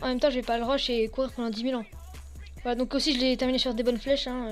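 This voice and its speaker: Music plays in the background. Over it, a woman speaks at a high pitch. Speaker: gaming youtuber. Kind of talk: gameplay commentary. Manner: fast; halting.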